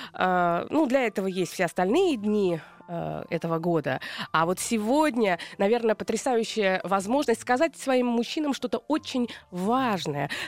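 A woman's fairly high voice with very wide pitch swings and very even loudness. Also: fairly slow pace. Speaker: radio host and psychologist. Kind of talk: radio talk show with call-ins. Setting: radio studio. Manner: warm, upbeat.

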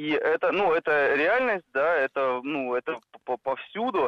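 A man's fairly high voice with lively intonation and a very slow pace. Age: 30s. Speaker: radio caller. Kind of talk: phone-in call. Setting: phone call.

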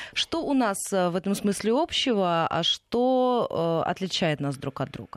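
A woman at medium pitch speaks with very wide pitch swings. The sound is dry and close with no echo, over a quiet background. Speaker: radio host. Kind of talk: radio interview. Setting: studio.

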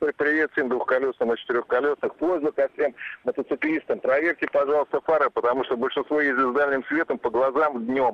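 A man with a plain, everyday voice, fairly high in pitch, at a fairly quick pace with fairly even intonation and very even loudness. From Zhukovsky, Moscow region. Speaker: caller. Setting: phone call.

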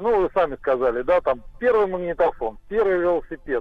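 This man's pitch is high, with lively intonation. He keeps a moderate pace. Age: 50s. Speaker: caller. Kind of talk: phone call story. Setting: phone call.

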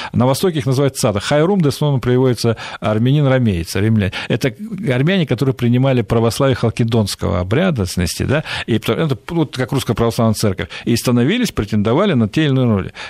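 In a very clean recording with a silent background, a man talks at a very fast pace with lively intonation and very even loudness. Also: medium pitch for a man. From Central Asia, Fergana Valley. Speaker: Middle East analyst, think tank director. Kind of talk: radio interview.

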